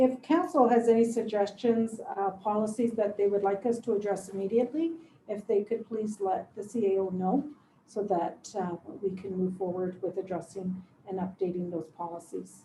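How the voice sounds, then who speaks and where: A woman's voice is somewhat breathy. Her tone is dark and mellow. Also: medium pitch for a woman, ordinary pitch variation, moderate pace. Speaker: municipal staff member. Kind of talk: council meeting. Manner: soft-spoken.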